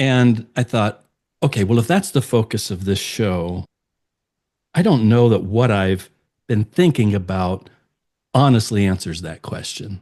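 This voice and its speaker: Long, frequent pauses break up this man's speech. His pitch is fairly low, with ordinary variation, and his pace is fairly slow. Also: quiet background. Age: 60s. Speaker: podcast guest, speaker. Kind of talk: personal testimony in interview.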